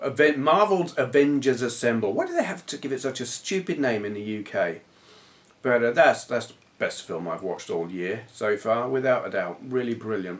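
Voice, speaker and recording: Someone with a southern English accent speaks at a moderate pace with very wide pitch swings. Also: man, medium pitch for a man. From southern England. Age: 40s. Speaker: retro gaming youtuber. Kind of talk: casual vlog chat.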